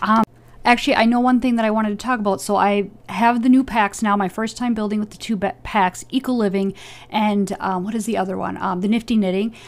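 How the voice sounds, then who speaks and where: This soft-spoken voice keeps a fairly even intonation. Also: woman, fairly high pitch for a woman, fairly quick pace. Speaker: gaming youtuber. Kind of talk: voiceover commentary. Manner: hesitant, filler words.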